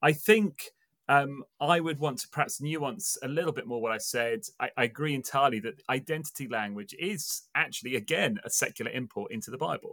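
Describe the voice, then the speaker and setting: A man with an English accent speaks at a fairly quick pace, with hardly any pauses. His fairly high voice has a bright, sharp tone and lively intonation. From England. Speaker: pastor. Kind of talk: casual chat.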